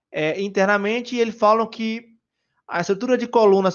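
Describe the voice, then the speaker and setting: A man speaks with a Bahian accent and ordinary pitch variation. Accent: Bahian Brazilian Portuguese. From Brazil, Bahia. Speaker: software engineer speaker. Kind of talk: conference talk. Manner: casual, hesitant with fillers.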